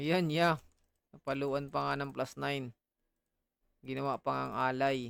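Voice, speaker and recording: Recorded in a dry, close sound with no echo, a man speaks at a fairly slow pace with fairly even intonation and long, frequent pauses. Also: fairly high pitch for a man. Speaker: gaming streamer. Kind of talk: casual gaming stream chat.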